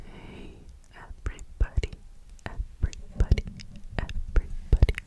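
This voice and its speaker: A woman whispers over noticeable background noise. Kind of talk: ASMR ramble. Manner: whispered; repetitive echoing words.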